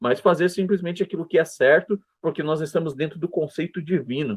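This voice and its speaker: Recorded dry and close with no echo, a man speaks at a high pitch. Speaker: Sunday school Bible teacher. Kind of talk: Bible lesson lecture.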